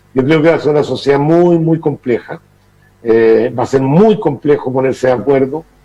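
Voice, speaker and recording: Dark, mellow tone at a moderate pace, with ordinary pitch variation. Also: man. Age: 60s. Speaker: political commentator. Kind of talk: TV interview.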